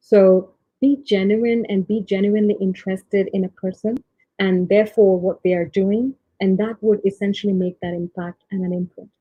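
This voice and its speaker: A woman talks at a moderate pace in a medium pitch. Her voice is somewhat breathy, with fairly even intonation. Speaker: tech leader. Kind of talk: panel talk. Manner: hesitant, many fillers.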